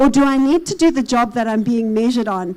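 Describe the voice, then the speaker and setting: A woman with a South African accent, high-pitched, fairly quick, with ordinary pitch variation. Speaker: consultant / conference speaker. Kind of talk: conference presentation.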